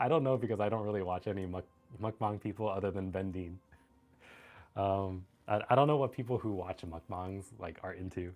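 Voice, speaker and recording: Music plays behind a man speaking at a fairly quick pace. His pitch is fairly low, with ordinary pitch variation. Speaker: gaming streamer. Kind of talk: casual chat. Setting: live stream at computer. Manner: choppy, halting speech; calm.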